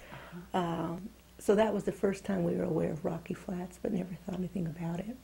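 A dark, mellow tone with vocal fry and an American accent, at a moderate pace. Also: woman. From US South, El Paso, Texas; Texas. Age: 40s. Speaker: former nuclear plant chemical operator; interviewee. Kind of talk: oral history interview. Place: home room.

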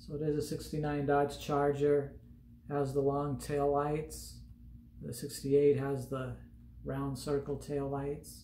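A man talks at a very slow pace. Audible room echo and light background noise surround him. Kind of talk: casual vlog chat. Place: home room. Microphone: phone near.

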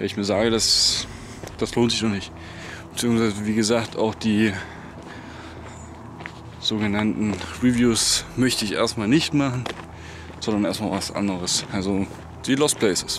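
Moderate pace with long, frequent pauses, fairly even intonation, a dry sound with no echo, and noticeable background noise. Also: man, fairly low pitch for a man. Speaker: lost-place vlogger. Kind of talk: casual vlog chat. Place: open country. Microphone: phone near.

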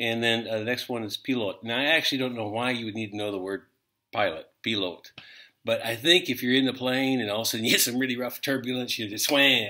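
A man with an American accent speaks at a fairly quick pace in a bright, sharp tone. The background is quiet. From United States. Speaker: language teacher. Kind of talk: casual video lesson. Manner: halting, many fillers. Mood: joking, amused. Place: home room. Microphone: webcam.

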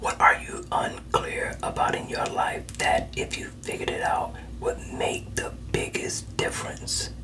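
Whispering at a fairly slow pace, a man keeps a calm tone. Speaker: coach or counselor. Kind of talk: self-help coaching talk. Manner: soft, calm ASMR therapist voice. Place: home room. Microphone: phone near.

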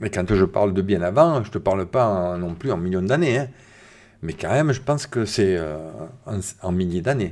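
A man with a fairly low pitch speaks at a moderate pace. His intonation is lively. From southern France, Var. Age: 50s. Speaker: science YouTuber. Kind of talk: live stream chat. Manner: casual, hesitant with many fillers. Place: home room. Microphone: studio mic.

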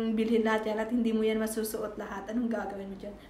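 A woman speaks with fairly high pitch, with audible room echo and light background noise. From Visayas, Philippines. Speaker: YouTuber; vlogger. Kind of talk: casual vlog show-and-tell; casual vlog chat. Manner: halting, many fillers. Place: home room. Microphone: phone near.

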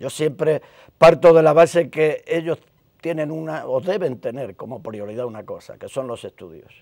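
A man speaks at a moderate pace with a fairly high pitch and ordinary pitch variation. His loudness swings widely over a quiet background. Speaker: retired police inspector and youth football coach; youth football coach. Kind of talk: interview. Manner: halting, many repetitions. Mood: reflective, at times emotional. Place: studio. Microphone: lapel.

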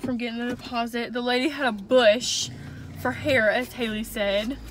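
Over clear background noise, a woman speaks at a moderate pace with a fairly high pitch and fairly even intonation.

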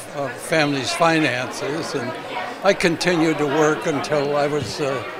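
Fairly even intonation over crowd noise in the background. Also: man. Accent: American. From Rochester, New York. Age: 80s+. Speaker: World War Two veteran. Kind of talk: interview answer.

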